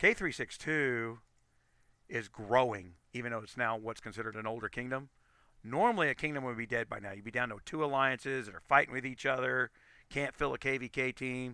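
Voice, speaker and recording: A man speaks at a fairly quick pace, his medium-pitched voice bright and sharp in tone. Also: ordinary pitch variation. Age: 50s. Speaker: gaming streamer. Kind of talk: live stream commentary. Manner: halting, many repeats and self-corrections.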